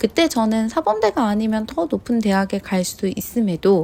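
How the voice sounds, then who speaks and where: A woman uses a dark, mellow tone at a moderate pace. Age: 30s. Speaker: vlogger. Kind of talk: scripted narration.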